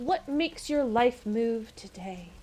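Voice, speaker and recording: Using a put-on character voice, a woman speaks at a fairly slow pace and a high pitch. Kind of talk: reading dialogue aloud in character. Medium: game stream. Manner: cryptic, sing-song, playful.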